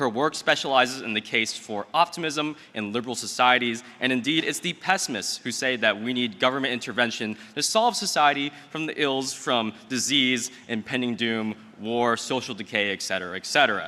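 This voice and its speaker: A man speaks in a normal speaking voice at a medium pitch with ordinary pitch variation. His moderate pace has hardly any pauses. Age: 20s. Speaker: event emcee, law student. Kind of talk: speaker introduction. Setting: stage with audience.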